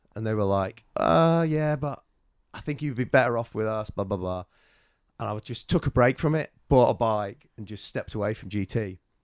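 With a northwest English accent, a man talks at a moderate pace and medium pitch with lively intonation, in a dry, close sound with no echo on a very clean recording with a silent background. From northern England, Chester. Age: 40s. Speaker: BMX rider. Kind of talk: casual chat. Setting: in person.

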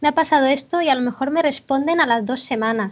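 A woman talks at a fairly quick pace in a high pitch. Her pitch variation is ordinary. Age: 20s. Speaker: UX/UI designer and web developer. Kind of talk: casual interview chat.

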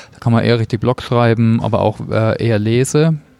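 A man speaks at a fairly slow pace with medium pitch. His intonation is fairly even, and noticeable background noise is present. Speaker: podcast host. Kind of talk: interview. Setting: cafeteria at a conference.

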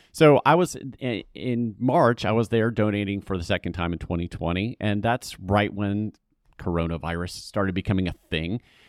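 A man with an American accent and an unremarkable speaking voice talks at a moderate pace, his fairly low pitch showing ordinary pitch variation, in a very clean recording with a silent background and a dry, close sound with no echo. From US South. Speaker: communications executive, former TV news reporter. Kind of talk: interview.

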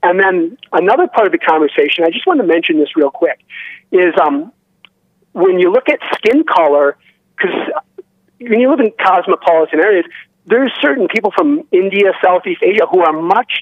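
This man's voice is high-pitched for a man, with lively intonation, a moderate pace and very even loudness. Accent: American. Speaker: caller, veteran. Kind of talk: phone-in call to a livestream show. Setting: phone call.

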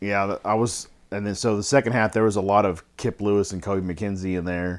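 With a very deep, low pitch, a man delivers his words in a flat monotone. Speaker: podcast co-host.

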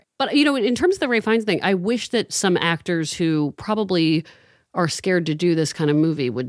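With a dry, close sound and no echo, a woman speaks at a fairly quick pace and very even loudness, her medium pitch making very wide swings. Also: very clean recording, silent background. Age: 40s. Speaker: advice columnist. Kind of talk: casual chat.

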